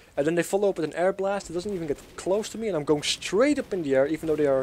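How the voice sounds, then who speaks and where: A man with a Dutch accent, a fairly high pitch and a very fast pace. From Netherlands. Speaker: gaming YouTuber. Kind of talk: gameplay commentary. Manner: casual, hesitant with fillers.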